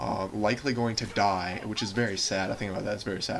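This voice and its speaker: A man talks at a very fast pace with fairly low pitch and fairly even intonation. Noticeable background noise and audible room echo are present. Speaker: gaming commentator. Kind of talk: gameplay commentary monologue. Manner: rambling with many fillers and restarts.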